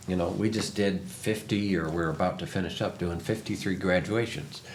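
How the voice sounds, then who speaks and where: Over noticeable background noise, a man with a very deep, low pitch talks at a moderate pace, his loudness very even and his pitch varying in an ordinary way. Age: 60s. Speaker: interviewer, media founder. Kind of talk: casual interview chat. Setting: sit-down interview.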